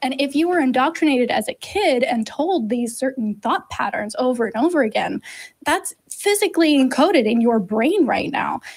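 Against a quiet background, a woman with a high pitch talks at a moderate pace with lively intonation. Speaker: co-host of call-in show. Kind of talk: explanatory answer to a caller. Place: studio. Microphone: studio mic.

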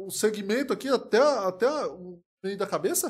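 This man's voice is high-pitched. It swings very widely in pitch. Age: 30s. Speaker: comedian. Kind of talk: live stream reaction commentary. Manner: animated.

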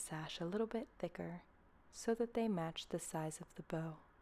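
The voice is soft-spoken, at a moderate pace. Pitch variation is ordinary. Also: woman. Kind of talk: ASMR tutorial narration.

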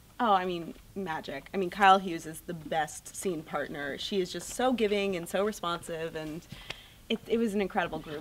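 Her voice is fairly low, with ordinary pitch variation at a moderate pace. This woman swings a lot in loudness over light background noise. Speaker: actor being interviewed. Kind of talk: interview answer. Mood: cheerful, excited, laughing. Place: hall. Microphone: handheld.

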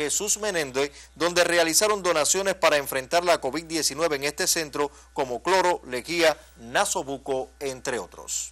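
A man's high voice moves at a moderate pace and varies its pitch in an ordinary way. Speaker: TV news host. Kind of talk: TV news magazine presenting.

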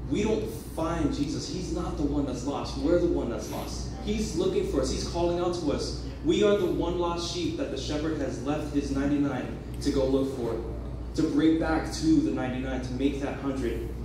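A man speaks amid noticeable background noise and strong room echo. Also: moderate pace. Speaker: youth preacher. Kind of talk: sermon. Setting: church. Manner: animated, earnest, conversational; teaching with an illustrative story, building to an altar call. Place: church. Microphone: camera far.

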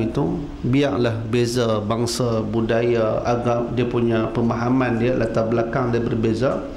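A man speaks at a fairly slow pace. Light background noise and audible room echo surround his voice. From Penang, Malaysia. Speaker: religious teacher. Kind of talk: sermon. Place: hall. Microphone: podium.

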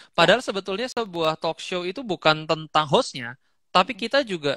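Raised and projected, a man's high-pitched, bright, sharp voice races at a very fast pace with lively intonation, dry with no echo over a quiet background. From Indonesia, living in Bali. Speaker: guest speaker, content creator. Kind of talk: casual interview over Instagram Live. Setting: Instagram live video call. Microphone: headset.

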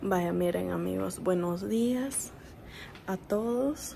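Light background noise behind a woman's voice. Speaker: mother vlogger. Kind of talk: casual vlog chat. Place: kitchen. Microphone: phone near.

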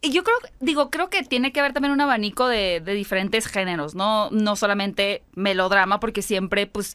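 A woman speaks at a moderate pace with a bright, sharp tone. She hardly pauses, and the background is quiet. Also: medium pitch for a woman, lively intonation. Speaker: film podcast host. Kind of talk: casual chat. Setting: studio. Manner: animated. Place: studio. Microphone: studio mic.

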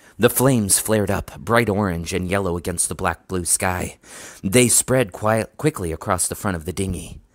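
This is reading aloud in a natural voice. The pitch variation is ordinary.

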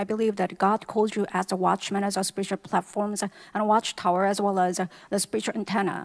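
A woman's medium-pitched voice in monotone, flat intonation at a moderate pace, on a very clean recording with a silent background. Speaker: English interpreter. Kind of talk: consecutive interpreting of sermon.

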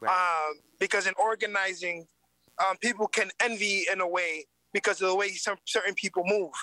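Speaking with an American accent in a raised, projected voice, a man keeps very even loudness at a moderate pace, his high pitch and bright, sharp tone heard dry with no echo against a quiet background. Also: fairly even intonation. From New York City, South Bronx; New York City. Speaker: community organizer; guest. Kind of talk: interview. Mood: earnest, engaged. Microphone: video call.

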